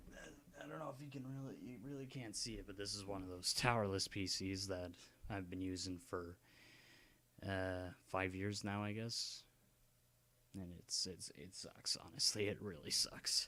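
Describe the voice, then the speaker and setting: A soft-spoken man talks in a fairly low, bright, sharp voice with ordinary pitch variation. He keeps a moderate pace but leaves long, frequent pauses. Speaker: gaming YouTuber. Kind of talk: casual vlog ramble. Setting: home at night, dad sleeping. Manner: halting.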